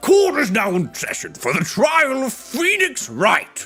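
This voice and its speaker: Faint music plays behind a woman doing a put-on character voice at a fairly slow pace. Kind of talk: courtroom speech. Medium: virtual streamer. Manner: hesitant, befuddled.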